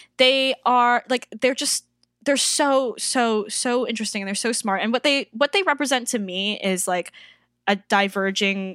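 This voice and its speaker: In a very clean, dry, close recording with a silent background and no echo, a woman speaks in an ordinary speaking voice. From Toronto, Canada. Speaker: circus performer and drag artist. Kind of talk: casual interview chat.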